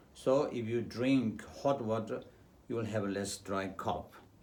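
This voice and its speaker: Audible room echo on a man's voice at a medium pitch. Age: 70s. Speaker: traditional medicine doctor. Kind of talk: health talk. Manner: hesitant, with fillers.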